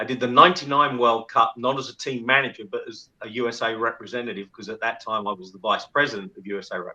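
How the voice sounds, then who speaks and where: Speaking at a very fast pace with hardly any pauses, a man with a London accent has a bright, sharp tone. His loudness swings a lot, while his pitch varies in an ordinary way. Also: medium pitch for a man. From England, London. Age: 60s. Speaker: former rugby team manager. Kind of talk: podcast interview.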